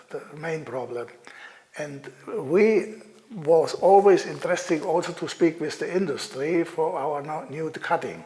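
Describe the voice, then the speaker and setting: With a German accent, a man speaks in a high pitch at a very slow pace, showing ordinary pitch variation. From Germany. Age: old. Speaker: master gem cutter interviewed for an oral history. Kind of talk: interview answer. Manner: hesitant, halting, with frequent filler words.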